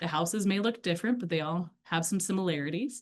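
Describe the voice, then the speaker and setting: In a Midwestern accent, a woman speaks at a fairly quick pace. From US Midwest. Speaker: LGBTQ+ educator. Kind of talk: lecture. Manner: casual, animated.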